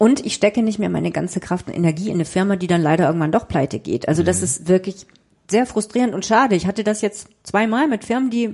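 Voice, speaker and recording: Speaking very fast, a woman uses lively intonation at a medium pitch. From southern Germany (Freiburg im Breisgau), northern German family. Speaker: journalist and author. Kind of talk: interview.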